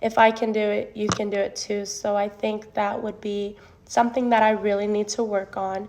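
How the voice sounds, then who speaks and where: At a moderate pace, a woman speaks at a fairly high pitch in a monotone, flat intonation. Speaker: education student and preschool teacher. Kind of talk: self-assessment video monologue. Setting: recorded alone to camera. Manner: halting, nervous.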